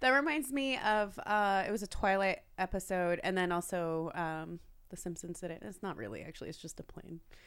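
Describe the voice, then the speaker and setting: With hardly any pauses, a woman speaks at a fairly quick pace, her medium pitch carrying lively intonation and big swings in loudness, on a very clean recording with a silent background. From US (born in France, moved at five; Persian family). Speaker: adult performer. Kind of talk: casual chat.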